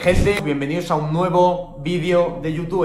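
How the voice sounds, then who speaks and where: Noticeable background noise runs under a man speaking in a high voice. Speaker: self-improvement content creator. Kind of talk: casual talk to camera. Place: home room. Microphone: phone near.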